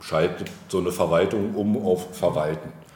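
Audible room echo surrounds a man whose very deep, low voice keeps a fairly even intonation. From Brandenburg, former East Germany. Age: 40s. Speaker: local politician. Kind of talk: casual interview. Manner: hesitant, many fillers.

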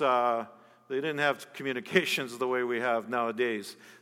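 A man with a plain, everyday voice talks at a moderate pace and medium pitch on a very clean recording with a silent background. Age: 50s. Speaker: pastor, national church leader. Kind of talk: sermon.

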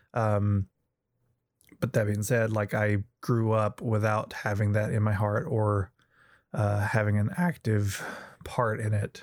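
Speaking at a fairly slow pace, a man with a Southern US accent uses a fairly low pitch. The recording is very clean, with a silent background. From US South. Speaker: friend of the host. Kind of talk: casual discussion. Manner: hesitant, many fillers.

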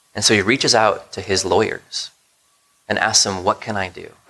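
A man at a moderate pace. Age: 30s. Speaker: pastor. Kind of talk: sermon. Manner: halting.

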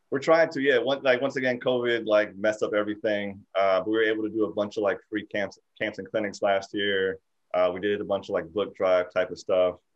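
This man has a normal speaking voice, fairly low in pitch, with an American accent. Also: ordinary pitch variation, fairly quick pace. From southern Connecticut. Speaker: basketball coach. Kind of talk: interview.

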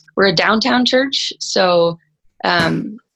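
The sound is dry and close, without any echo. It is a woman speaking in an American accent. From Texas. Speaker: pastor. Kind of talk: panel discussion.

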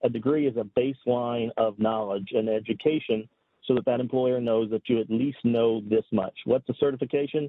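Keeping very even loudness and fairly even intonation, a man with a medium pitch speaks at a moderate pace in an unremarkable speaking voice. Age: 40s. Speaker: cybersecurity executive. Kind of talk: casual chat.

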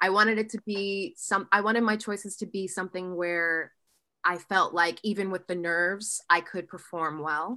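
On a very clean recording with a silent background, a woman with an American accent speaks in a bright, sharp tone at a medium pitch and moderate pace, her intonation fairly even. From Ohio. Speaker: musical theatre actress. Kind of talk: casual chat.

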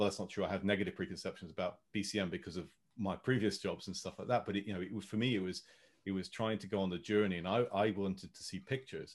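Speaking at a very fast pace, a man has a British accent. His pitch is fairly low, and his intonation fairly even. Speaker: podcast host. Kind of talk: casual chat. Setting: video call.

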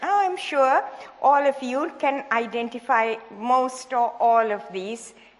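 A woman talks at a very slow pace with a high pitch. Noticeable background noise sits behind her. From Sri Lanka. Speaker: sex therapist and retired academic. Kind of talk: seminar talk. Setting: church stage with audience.

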